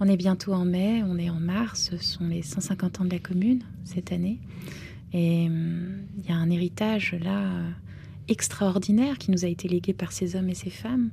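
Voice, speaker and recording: Speaking with a Romanian accent at a moderate pace, a woman with a fairly low pitch and ordinary pitch variation leaves long, frequent pauses. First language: Romanian (speaking French). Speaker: novelist. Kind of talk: interview.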